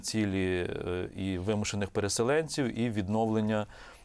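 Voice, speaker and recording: A man's fairly low, plain, everyday voice at a moderate pace, with ordinary pitch variation and a quiet background. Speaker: economist. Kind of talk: TV interview. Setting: studio.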